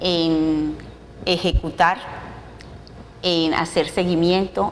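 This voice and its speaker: A woman with a Bogotá accent and a fairly low pitch speaks in a fairly even intonation against noticeable background noise. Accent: Bogotá-like (cachaco). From Colombia, Cartagena. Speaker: business association president. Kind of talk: TV interview.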